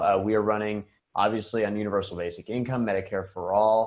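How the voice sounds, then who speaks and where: Someone with an American accent speaks at a moderate pace over a quiet background. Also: man. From Florida. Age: 20s. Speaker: political candidate. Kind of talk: video call interview. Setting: video call. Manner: hesitant with many fillers.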